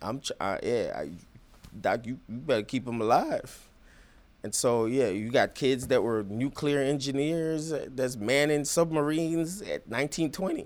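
A man with a Jamaican accent at medium pitch and a fairly slow pace, with ordinary pitch variation. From Jamaica, Kingston. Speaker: genomics company founder and veteran. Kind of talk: interview.

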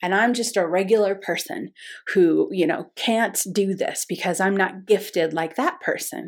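In a very clean recording with a silent background, a woman with a plain, everyday voice speaks at a fairly slow pace with lively intonation. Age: 50s. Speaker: intuition teacher. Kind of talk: lesson.

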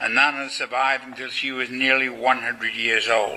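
Over noticeable background noise, a man talks at medium pitch and a moderate pace. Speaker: lecturer and author. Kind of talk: lecture delivered to a live audience, reverent history narration. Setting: college lecture hall. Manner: solemn, formal, measured storytelling with devout gravity.

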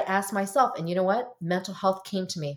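A woman's medium-pitched voice in an American accent, an ordinary speaking voice, at a fairly quick pace. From US (Korean American, arrived as infant). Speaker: marriage and family therapist. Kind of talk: casual interview.

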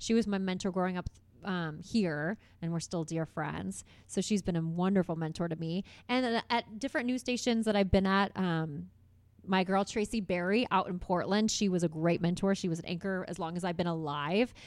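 On a very clean recording with a silent background, a woman with an American accent and a normal speaking voice talks at a moderate pace, her medium pitch showing ordinary variation. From Indiana, US Midwest (Carmel). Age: 30s. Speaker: TV host and radio personality. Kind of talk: casual interview chat. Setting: studio.

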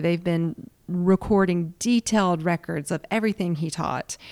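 Recorded very cleanly against a silent background, a woman with a Southern accent speaks at a moderate pace and fairly low pitch, with ordinary pitch variation and a dry, close sound with no echo. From US South. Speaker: yoga and meditation teacher. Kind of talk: interview.

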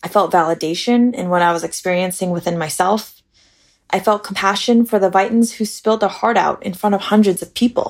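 An unremarkable speaking voice: a woman with an American accent, medium pitch, ordinary pitch variation and a fairly quick pace. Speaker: administrative coordinator sharing personal story. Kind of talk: personal essay read aloud.

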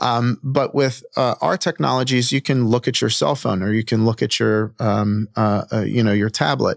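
This is a man with a normal speaking voice, medium in pitch with ordinary pitch variation. The sound is dry and close with no echo, and the recording is very clean with a silent background. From Baltimore, Maryland. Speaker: startup CEO. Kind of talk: interview.

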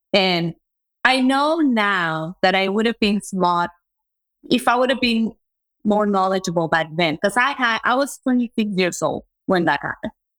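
A woman's medium-pitched voice with a non-native accent and lively intonation, dry and close with no echo, on a very clean recording with a silent background. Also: moderate pace. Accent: foreign-accented English. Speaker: entrepreneur, agency founder. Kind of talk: casual interview.

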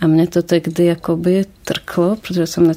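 Against noticeable background noise, a woman speaks at a fairly slow pace with monotone, flat intonation. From Ukraine, Kyiv. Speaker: painter and teacher. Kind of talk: interview.

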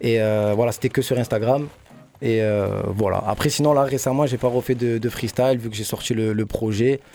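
This man's voice sits at a medium pitch with a dark, mellow tone, moving at a moderate pace with fairly even intonation. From Marseille, 15th district. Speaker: rapper. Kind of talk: radio interview.

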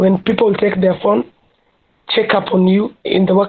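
A woman speaks at a moderate pace and medium pitch. Her voice is somewhat breathy, with fairly even intonation. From Kenya, Kibera in Nairobi. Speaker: activist. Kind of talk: interview.

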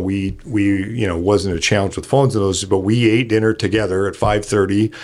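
In a Canadian accent, a man speaks at a fairly quick pace with a fairly low pitch and fairly even intonation, in a plain, everyday voice. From Canada, Kelowna, British Columbia. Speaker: benefits company founder. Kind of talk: casual chat.

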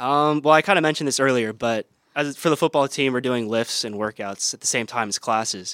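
On a very clean recording with a silent background and a dry, close sound with no echo, a man with an American accent speaks in an unremarkable speaking voice at a fairly quick pace with ordinary pitch variation. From Iowa. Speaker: college football player. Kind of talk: casual chat. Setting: studio.

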